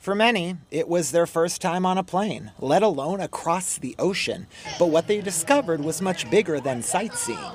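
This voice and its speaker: A man talks at a moderate pace in a high pitch, his intonation lively. Noticeable background noise runs under his voice. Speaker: TV lifestyle host and reporter. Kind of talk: TV news feature narration.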